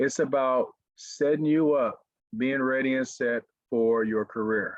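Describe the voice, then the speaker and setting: A man with an Arkansas accent speaks at a medium pitch. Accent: Southern (Arkansas). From US South, Pine Bluff, Arkansas. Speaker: motivational speaker, former pro football player. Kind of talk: webinar talk.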